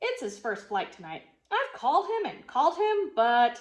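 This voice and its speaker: This is a put-on character voice, raised and projected. Its pitch swings very widely. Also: woman, high pitch for a woman, moderate pace. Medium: read story. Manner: hesitant.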